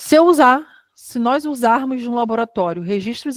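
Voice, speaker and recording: Her voice sits high in pitch. The woman talks at a moderate pace with ordinary pitch variation. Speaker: lecturer on quality control. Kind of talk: online lecture. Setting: online webinar.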